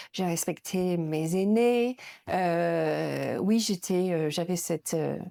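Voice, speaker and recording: Very slowly, a woman speaks with very even loudness. The recording is very clean, with a silent background. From northern England, Yorkshire near Leeds. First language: English (speaking French). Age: 50s. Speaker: museum director. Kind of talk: interview. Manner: hesitant, many fillers.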